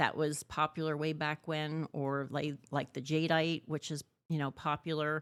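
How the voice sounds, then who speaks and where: Delivered at a moderate pace, the voice is monotone and flat. The recording is very clean with a silent background, and the sound is dry and close with no echo. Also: woman, very deep, low pitch for a woman. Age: 60s. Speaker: antique shop owner. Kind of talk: casual interview. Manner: conversational, filler-heavy.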